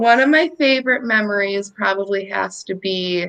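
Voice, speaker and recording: Speaking in a normal speaking voice, a woman talks at a fairly slow pace with a fairly high pitch and ordinary pitch variation. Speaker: war veteran. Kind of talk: interview answer. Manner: casual, conversational.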